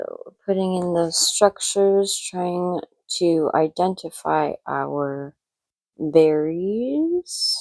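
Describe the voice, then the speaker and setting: In a dry, close sound with no echo, a woman mumbles at a very slow pace. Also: big swings in loudness. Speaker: artist painting tutorial host. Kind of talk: tutorial. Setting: art studio. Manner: mumbling.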